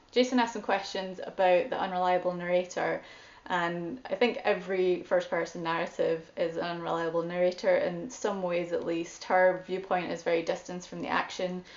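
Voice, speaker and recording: With a Scottish accent, a woman speaks at medium pitch and fairly even intonation, hardly pausing, against noticeable background noise. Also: moderate pace. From Scotland. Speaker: guest host, book reviewer. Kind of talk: book discussion monologue.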